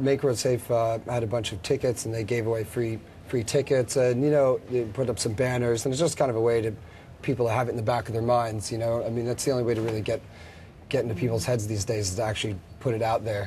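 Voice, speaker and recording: A man with an American accent talks at a very fast pace in a medium pitch, his dark, mellow tone somewhat breathy and his intonation fairly even. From United States. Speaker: rock band guitarist. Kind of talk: TV interview. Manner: hesitant, many fillers.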